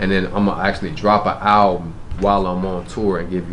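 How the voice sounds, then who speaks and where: A man in a Memphis accent, fairly low pitch, moderate pace, with audible room echo and noticeable background noise. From US South, Memphis. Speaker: rapper. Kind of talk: interview.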